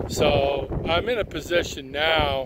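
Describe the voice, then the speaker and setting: Noticeable background noise accompanies a man whose voice has a dry sound with no echo. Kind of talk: casual review commentary. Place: open country. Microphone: phone near.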